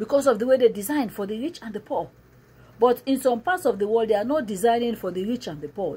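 Somewhat breathy and dark, mellow in tone, a woman talks at a very fast pace with ordinary pitch variation. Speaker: preacher. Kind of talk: sermon. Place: home room. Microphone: phone near.

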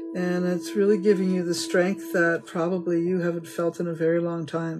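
A woman is speaking while clear music sounds behind her. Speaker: tarot reader. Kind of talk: casual reading to viewers. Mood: warm, upbeat. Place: home room. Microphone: phone near.

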